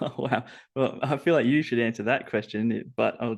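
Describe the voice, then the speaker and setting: Against a quiet background, a man with an Australian accent and a medium pitch talks at a moderate pace with fairly even intonation. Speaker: robotics engineer. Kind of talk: interview podcast.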